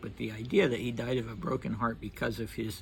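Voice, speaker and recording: Medium-pitched man's voice with vocal fry and ordinary pitch variation. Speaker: history channel host. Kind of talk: casual history commentary. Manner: slow; halting.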